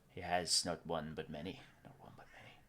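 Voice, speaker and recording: A man whispers fairly quickly in a put-on character voice. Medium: actual play. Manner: erratic, repetitive muttering.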